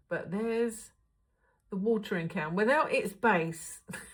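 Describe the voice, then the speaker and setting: The woman's voice is somewhat breathy and medium in pitch, with ordinary pitch variation. She speaks at a fairly slow pace. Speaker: crafting channel host. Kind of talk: crafting tutorial vlog. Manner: chatty, thinking aloud.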